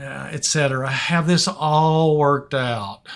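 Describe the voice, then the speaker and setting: Fairly high in pitch, a man speaks at a fairly slow pace with fairly even intonation. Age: 60s. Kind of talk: humorous gaming commentary. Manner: hesitant, conversational.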